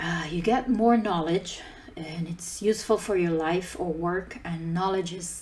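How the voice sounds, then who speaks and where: The speech moves at a moderate pace amid noticeable background noise. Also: woman. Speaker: conference speaker, open source team lead. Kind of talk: conference talk.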